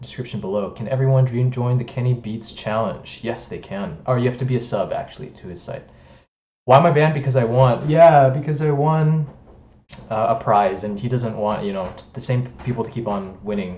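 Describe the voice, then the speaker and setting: The voice is somewhat breathy with a dark, mellow tone, moving at a fairly quick pace with ordinary pitch variation and big swings in loudness, and audible room echo around it. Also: man. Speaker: music producer streamer. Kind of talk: live stream chat. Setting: live stream. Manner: fast.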